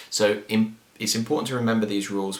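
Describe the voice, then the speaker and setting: A man talks at a very fast pace with a fairly low pitch, with audible room echo and noticeable background noise. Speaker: guitar teacher. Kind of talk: tutorial.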